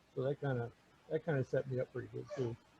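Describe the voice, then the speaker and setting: A man's medium-pitched voice comes across dark, mellow and somewhat breathy, with a dry, close sound and no echo. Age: 60s. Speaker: Bible study group facilitator. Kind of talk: casual group chat. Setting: video call. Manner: halting.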